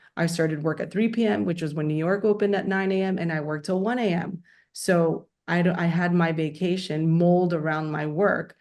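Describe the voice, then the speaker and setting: A woman speaks in an unremarkable speaking voice at a fairly low pitch. Her pace is fairly quick, with ordinary pitch variation. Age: 40s. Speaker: company founder and CEO. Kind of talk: interview.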